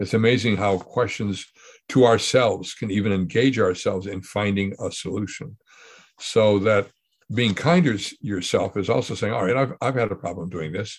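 A man with an ordinary speaking voice, fairly low pitch, ordinary pitch variation and a moderate pace. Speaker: podcast host. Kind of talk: casual conversation.

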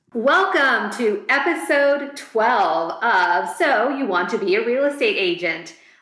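Against noticeable background noise, a woman speaks at a very slow pace with hardly any pauses, very even loudness, a fairly high pitch and very wide pitch swings. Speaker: real estate agent and podcast host. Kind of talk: podcast discussion, casual conversation.

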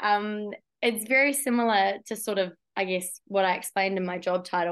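In a New Zealand accent, a woman speaks with fairly even intonation. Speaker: geologist and climate risk consultant. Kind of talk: interview.

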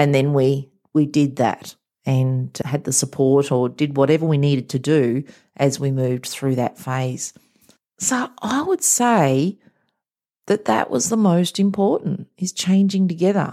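Speaking in an Australian accent, a woman with a very deep, low pitch and a dark, mellow tone talks at a fairly slow pace with lively intonation. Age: 50s. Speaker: mindset coach. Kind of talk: motivational monologue.

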